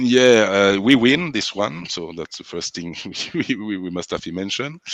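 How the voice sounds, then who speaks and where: With a French accent, a man speaks at a moderate pace with a fairly low pitch. His intonation is lively. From France. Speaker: sound system selector. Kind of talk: interview. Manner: halting.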